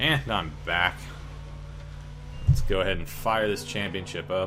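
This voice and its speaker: With vocal fry and a very deep, low pitch, a man speaks at a fairly slow pace. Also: ordinary pitch variation. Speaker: gaming YouTuber. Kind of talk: gameplay commentary. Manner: loud; animated.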